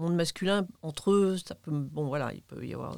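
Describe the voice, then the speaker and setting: A woman speaks with an unremarkable speaking voice, pitched fairly low. Her pace is fairly slow and her pitch variation ordinary. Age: 60s. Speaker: retired engineer and manager. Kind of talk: interview conversation. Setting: studio.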